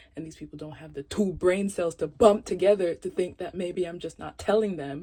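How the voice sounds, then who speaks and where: The tone is relaxed and the intonation fairly even. The pace is fairly quick, with big swings in loudness. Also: woman, fairly low pitch for a woman. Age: 20s. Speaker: YouTuber. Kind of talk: casual vlog monologue. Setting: home closet with candles. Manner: relaxed, stream of consciousness.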